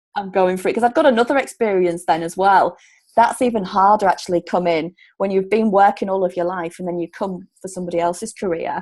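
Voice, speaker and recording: Against a quiet background, a woman with a Yorkshire accent talks very fast at a medium pitch with ordinary pitch variation. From Yorkshire, Hull. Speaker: relocation coach. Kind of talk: casual interview chat.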